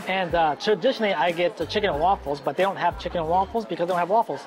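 A man at a high pitch, talking very fast over clear background music. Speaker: food vlogger. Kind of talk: casual vlog chat. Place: cafe. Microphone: lapel.

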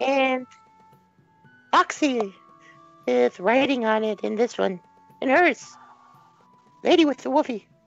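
A put-on character voice speaks at a fairly slow pace with long, frequent pauses, over faint background music. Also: female-sounding voice, high pitch for a woman. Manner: earnest, friendly.

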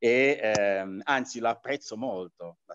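A man with lively intonation talks over a quiet background. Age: 60s. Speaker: martial arts teacher; martial arts teacher interviewed. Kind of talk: interview. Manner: halting, many fillers. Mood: relaxed, reflective. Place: home room. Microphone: video call.

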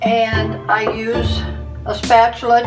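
Clear music can be heard behind a woman as she talks. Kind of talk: tutorial. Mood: warm, homely. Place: kitchen. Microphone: camera far.

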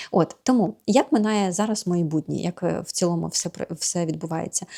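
A woman's voice sits at a fairly low pitch with ordinary pitch variation, recorded dry and close with no echo. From Ukraine. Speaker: vlogger and yoga teacher. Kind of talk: casual vlog chat. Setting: home yoga studio.

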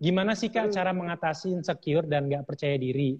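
Somewhat breathy, a man talks at a very fast pace with ordinary pitch variation over a quiet background. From Indonesia. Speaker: livestream host. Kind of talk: interview. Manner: animated. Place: studio.

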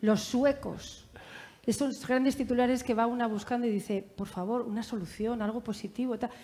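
Speaking at a moderate pace, a woman has a fairly high pitch, a dark, mellow tone and fairly even intonation. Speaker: journalist, panel moderator. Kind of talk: panel moderation. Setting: stage with audience. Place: hall. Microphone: headset.

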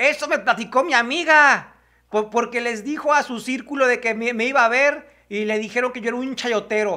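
A man speaks at an extremely high pitch, with a bright, sharp tone. His pace is fairly quick with few pauses, and his pitch varies an ordinary amount.

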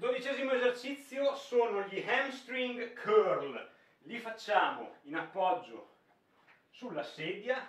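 A man speaks very slowly, with long, frequent pauses. Room echo can be heard. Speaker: fitness trainer. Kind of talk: tutorial. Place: gym. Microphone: camera far.

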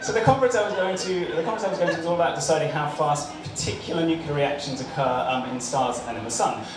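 With hardly any pauses, a man talks at a very fast pace with lively intonation and a fairly high pitch, amid noticeable background noise and audible room echo. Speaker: stand-up comedian and nuclear physicist. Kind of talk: stand-up comedy routine with jokes and anecdotes. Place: bar.

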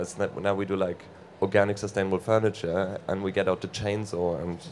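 An ordinary speaking voice moves at a fairly quick pace with fairly even intonation over light background noise. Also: man. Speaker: guest. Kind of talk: interview answer. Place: stage. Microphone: handheld.

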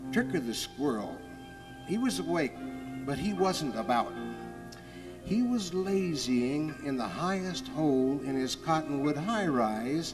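Music plays in the background as a man speaks very slowly with very wide pitch swings. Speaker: author. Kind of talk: children's story reading. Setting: outdoors, with orchestral backing. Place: forest.

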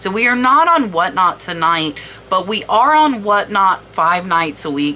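An animated tone with very wide pitch swings comes through over noticeable background noise. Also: woman. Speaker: online reseller and video creator. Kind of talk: tutorial-style product research walkthrough.

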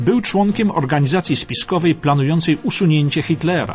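A man's lively intonation and fairly quick pace come through with music playing in the background. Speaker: narrator. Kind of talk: historical documentary radio narration. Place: studio.

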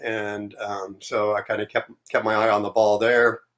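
Over a quiet background, a man speaks at a fairly low pitch. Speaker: remote guest. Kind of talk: interview answer. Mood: relaxed, reflective. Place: home room.

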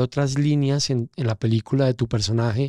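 The dark, mellow voice keeps a fairly even intonation, with a dry sound free of echo and a quiet background. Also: man. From Colombia, coffee region (Pereira); Colombia. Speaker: casting director, former journalist; former journalist. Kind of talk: interview conversation. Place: studio. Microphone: studio mic.

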